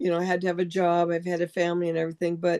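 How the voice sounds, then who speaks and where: Dry, close sound with no echo carries this woman's voice. Her tone is dark and mellow. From Europe. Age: 70s. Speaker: artist and book illustrator. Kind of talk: casual chat.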